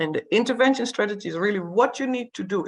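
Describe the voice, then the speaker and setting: A woman with vocal fry talks at a fairly quick pace with very wide pitch swings against a quiet background. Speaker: workshop trainer. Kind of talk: lecture. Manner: fast.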